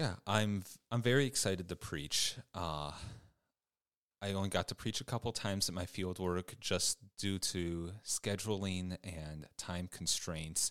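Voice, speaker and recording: With a Midwestern American accent, a man speaks in a very deep, low pitch. The recording is very clean, with a silent background and a dry, close sound with no echo. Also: ordinary pitch variation. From Michigan, US. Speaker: vicar, seminary student. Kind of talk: casual interview.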